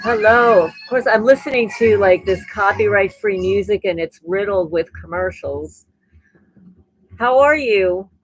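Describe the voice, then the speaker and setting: Over music in the background, a woman speaks at a fairly slow pace in a medium pitch. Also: ordinary pitch variation. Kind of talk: casual livestream talk to camera. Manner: conversational, rambling.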